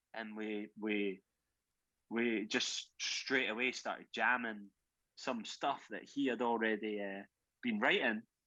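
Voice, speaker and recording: Speaking very slowly in a Scottish accent, a man keeps a medium pitch, a bright, sharp tone and monotone, flat intonation. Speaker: rock drummer. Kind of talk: podcast interview. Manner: halting, many repeated words.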